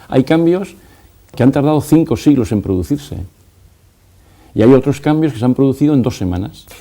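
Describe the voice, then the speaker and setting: The voice has a dark, mellow tone and lively intonation. It moves at a fairly quick pace, broken by long, frequent pauses. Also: man, fairly high pitch for a man. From Spain. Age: 60s. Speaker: educator. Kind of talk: TV interview.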